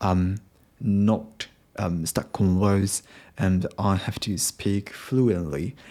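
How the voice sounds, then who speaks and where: A man with a Japanese accent speaks very slowly at a fairly low pitch in a dark, mellow tone, leaving long, frequent pauses. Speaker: podcaster, English learner. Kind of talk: unscripted solo podcast monologue. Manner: halting, many fillers.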